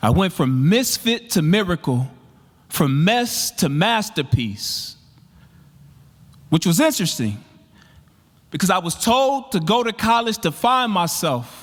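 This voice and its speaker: A man's high-pitched voice with very wide pitch swings, a fairly slow pace, and long, frequent pauses. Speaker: spoken word poet. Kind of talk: spoken word performance. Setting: live conference stage. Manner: powerful, rhythmic.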